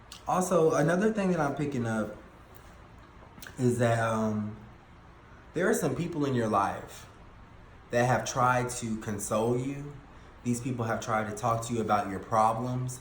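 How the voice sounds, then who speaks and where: A man's somewhat breathy voice with ordinary pitch variation, long, frequent pauses and audible room echo. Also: medium pitch for a man, moderate pace. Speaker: tarot reader. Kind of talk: tarot reading monologue. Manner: halting with fillers.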